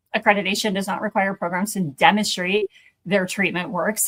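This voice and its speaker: Using an unremarkable speaking voice, a woman talks at a medium pitch with fairly even intonation. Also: dry, close sound with no echo. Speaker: accreditation consultant for addiction treatment programs. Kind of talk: educational talk.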